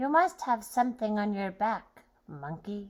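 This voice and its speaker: This woman puts on a character voice pitched fairly high. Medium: read story.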